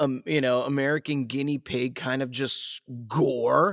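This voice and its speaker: In a relaxed tone, a man speaks over noticeable background noise, the sound dry and close with no echo. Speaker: voice-over talent and coach. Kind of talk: casual podcast conversation. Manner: laid-back, relaxed.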